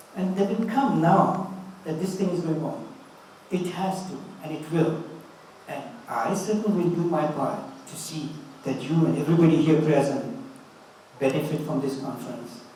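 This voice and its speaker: A man talks at a moderate pace and fairly high pitch, with ordinary pitch variation, big swings in loudness and long, frequent pauses. Room echo and background noise are both noticeable. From India. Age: 80s+. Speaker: motivational speaker, doctor. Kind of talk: motivational talk to an audience. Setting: conference with live audience.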